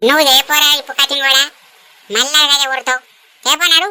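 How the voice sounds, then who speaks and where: A cartoonish character voice at a moderate pace, fairly even in intonation, with a dry, close sound and no echo. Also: woman, high pitch for a woman. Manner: rustic, wheedling.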